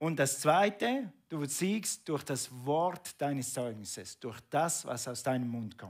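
Very slow speech from a man with a fairly high pitch and lively intonation. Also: quiet background. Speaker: preacher. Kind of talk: sermon. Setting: church. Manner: animated; conversational, asking the congregation questions. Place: church.

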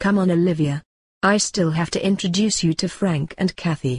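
In a cartoonish character voice, a woman growls at a fairly low pitch and a moderate pace, her loudness very even, with a dry, close sound that has no echo and a quiet background. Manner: friendly, eager.

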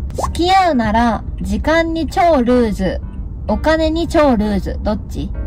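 In a Yamaguchi accent, a woman speaks at a fairly slow pace. The sound is dry with no echo, and faint music plays in the background. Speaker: driver and co-host. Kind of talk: casual chat while driving. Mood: playful, laughing. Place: car. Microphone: phone near.

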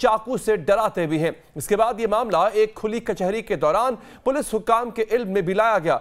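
A man's high-pitched voice at a fairly slow pace, with ordinary pitch variation and a quiet background. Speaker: news anchor. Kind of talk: news report. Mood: serious, grave. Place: studio.

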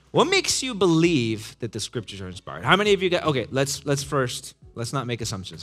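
Faint music sits in the background. A man talks at a fairly quick pace. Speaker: pastor teaching young adults. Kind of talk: interactive lecture. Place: hall.

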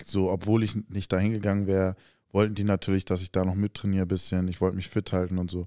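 Very deep and low in pitch, a man talks at a very fast pace in a monotone, flat intonation, the sound dry and close with no echo on a very clean recording with a silent background. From Hamburg, Germany. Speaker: professional basketball player, podcast co-host. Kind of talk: casual chat.

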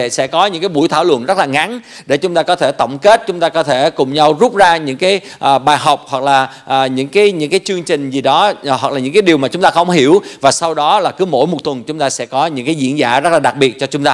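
Very fast speech from a man with a fairly high pitch and ordinary pitch variation, against a quiet background. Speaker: church service host. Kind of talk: bilingual church announcements. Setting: church. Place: church. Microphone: handheld.

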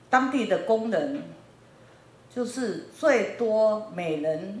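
A woman's voice with very wide pitch swings comes through audible room echo and light background noise. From Taiwan, New Taipei; Taiwan. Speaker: factory owner in Africa. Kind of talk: lecture. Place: classroom. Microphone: handheld.

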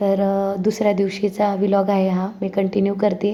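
Her tone is dark and mellow. This woman's delivery stays flat and monotone. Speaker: family vlogger. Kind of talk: vlog voice-over narration.

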